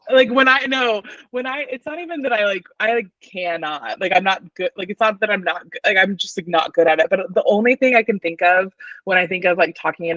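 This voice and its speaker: Speaking with an American accent, a woman uses lively intonation at medium pitch. Her pace is fairly quick. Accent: Southern US, stronger around her mom. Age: 30s. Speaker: podcast guest with acting background. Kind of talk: casual chat. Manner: fast, many fillers.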